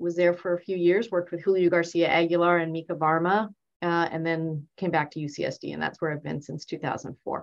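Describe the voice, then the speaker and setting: Speaking with a Californian accent, a woman with a fairly low pitch talks at a moderate pace in a flat monotone. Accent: Californian American. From US West Coast. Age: 50s. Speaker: surgeon. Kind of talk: casual interview.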